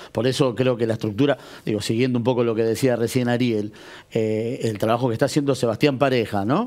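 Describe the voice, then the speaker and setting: The man's intonation stays fairly even, and his loudness is very even throughout. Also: fairly quick pace. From Argentina, Greater Buenos Aires (Malvinas Argentinas); Argentina. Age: 40s. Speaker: local political organizer; interview guest. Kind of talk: TV interview. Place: studio. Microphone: lapel.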